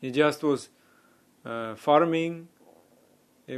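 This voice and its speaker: A man with a non-native accent talks at a very slow pace. His pitch varies in an ordinary way. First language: not English. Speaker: spiritual teacher. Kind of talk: religious talk. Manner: halting.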